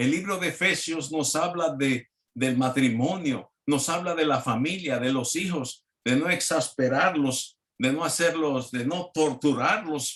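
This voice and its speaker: Speaking fairly slowly, a man uses an ordinary speaking voice, fairly high in pitch, with ordinary pitch variation. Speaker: preacher. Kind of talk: sermon.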